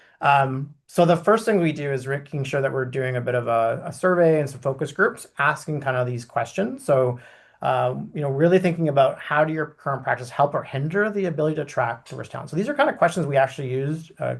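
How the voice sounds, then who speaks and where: Against a quiet background, a man talks very fast with hardly any pauses, his somewhat breathy voice fairly high in pitch with ordinary variation. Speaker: consultant / webinar speaker. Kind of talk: webinar presentation. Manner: animated.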